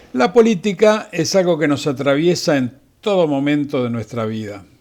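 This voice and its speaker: A man with an ordinary speaking voice talks at a moderate pace, his pitch fairly high and his intonation lively. The recording is very clean, with a silent background. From Argentina, Buenos Aires province. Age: 60s. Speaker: physician telling family history. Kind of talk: scripted narration. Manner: formal.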